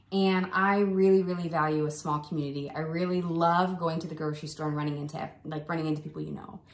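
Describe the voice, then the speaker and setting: Monotone and flat, the speech comes at a very fast pace with hardly any pauses over noticeable background noise. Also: woman, very deep, low pitch for a woman. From Ohio, US. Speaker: physical therapy clinic co-founder. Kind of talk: casual chat.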